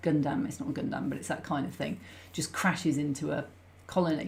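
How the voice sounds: A woman speaks at a low pitch with vocal fry and a slightly mellow tone. Her intonation stays fairly even.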